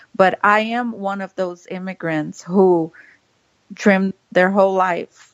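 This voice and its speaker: Speaking at a very slow pace, a woman with a Brazilian Portuguese accent and a medium pitch is heard in a dry, close sound with no echo. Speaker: political podcast co-host. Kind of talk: casual political commentary. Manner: animated.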